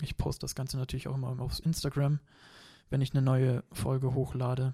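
The voice has a dark, mellow tone, somewhat breathy, with monotone, flat intonation. It moves at a moderate pace in a dry, close sound with no echo. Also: man. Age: 20s. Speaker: martial arts trainer. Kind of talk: casual chat.

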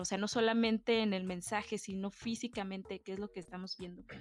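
A woman speaks in a normal speaking voice at medium pitch and a moderate pace, with fairly even intonation, a dry, close sound without echo, and a very clean recording over a silent background. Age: 20s. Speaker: visual artist. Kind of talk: casual chat.

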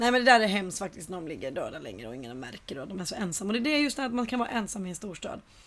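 Talking at a very fast pace, a woman shows big swings in loudness. Noticeable background noise runs underneath. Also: medium pitch for a woman. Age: 30s. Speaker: podcast co-host. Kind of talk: casual chat. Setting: in a flat with balcony door open.

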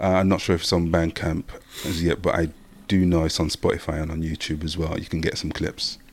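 A man talks at a fairly quick pace with a very deep, low pitch. His intonation is monotone and flat. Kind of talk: casual chat.

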